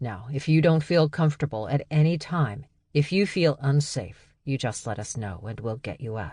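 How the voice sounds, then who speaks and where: A man puts on a character voice at a fairly high pitch. The background is quiet. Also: moderate pace. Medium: read story. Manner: patient, calm.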